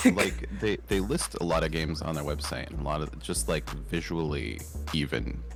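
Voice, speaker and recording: A man's very deep, low-pitched voice with ordinary pitch variation, audible room echo and music in the background. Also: moderate pace. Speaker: games content creator. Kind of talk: casual chat. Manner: loud.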